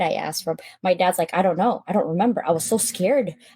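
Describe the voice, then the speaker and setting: Using a Filipino accent, a woman with a fairly low pitch talks at a fairly quick pace. Her pitch variation is ordinary and the sound is dry and close with no echo. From Philippines. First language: Filipino language. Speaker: public speaker. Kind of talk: interview storytelling. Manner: animated.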